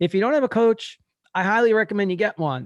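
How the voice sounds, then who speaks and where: A man talks at a very fast pace in a dry, close sound with no echo and a quiet background. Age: 60s. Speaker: podcast host, marathon runner. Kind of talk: casual interview chat.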